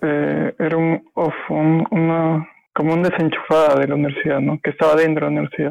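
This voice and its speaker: A man talks at a moderate pace with very even loudness. The sound is dry and close, with no echo. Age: 30s. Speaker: physics student. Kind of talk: casual chat. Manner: halting, many fillers.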